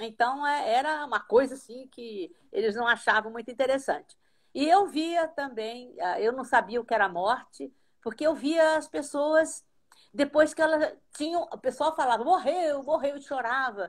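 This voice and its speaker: A woman speaks at a moderate pace with a high pitch and lively intonation, her loudness swinging widely. The recording is very clean, with a silent background. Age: 70s. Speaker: astral projection teacher. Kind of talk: casual chat.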